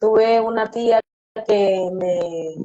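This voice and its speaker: In a Venezuelan accent, a woman speaks at a medium pitch with monotone, flat intonation. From Venezuela, Yaracuy state. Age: 30s. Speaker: recovered drug user. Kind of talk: testimony. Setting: online live stream.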